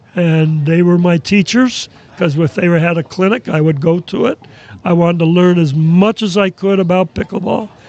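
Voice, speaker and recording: In an American accent, a man speaks at a moderate pace in a high voice, with ordinary pitch variation and very even loudness. The sound is dry and close with no echo, though there is noticeable background noise. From New York area. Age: 80s+. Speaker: basketball scout and pickleball coach. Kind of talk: podcast interview.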